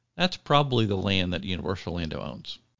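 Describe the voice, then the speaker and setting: A man's very deep, low voice at a very fast pace. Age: 50s. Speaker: food and theme park blogger. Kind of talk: casual chat.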